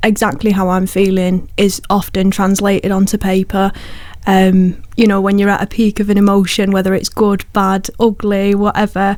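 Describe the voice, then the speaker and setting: Speaking fairly slowly with a Lancashire accent, a woman keeps her intonation monotone and flat. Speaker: poet. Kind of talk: radio interview. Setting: radio studio.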